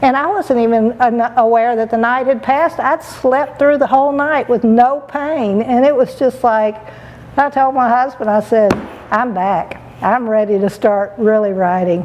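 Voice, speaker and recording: Over noticeable background noise, a woman with a high-pitched voice speaks at a moderate pace with ordinary pitch variation and very even loudness. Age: 60s. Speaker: patient. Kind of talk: testimony. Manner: halting.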